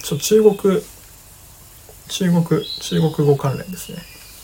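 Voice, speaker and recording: The speaker talks at a fairly slow pace in a relaxed tone, with noticeable background noise behind. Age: 30s. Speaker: livestream host, filmmaker. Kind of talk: casual livestream talk. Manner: relaxed, many fillers.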